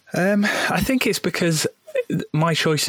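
A man in a dry, close sound with no echo, with noticeable background noise. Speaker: podcast host. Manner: casual, hesitant.

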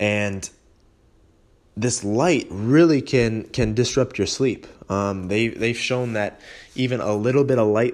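With an American accent, a man in an ordinary speaking voice talks at a fairly slow pace, with a fairly low pitch and ordinary pitch variation. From western New York (Holley area). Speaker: fitness podcast host. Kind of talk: casual solo podcast talk. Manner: casual with frequent fillers (um, you know).

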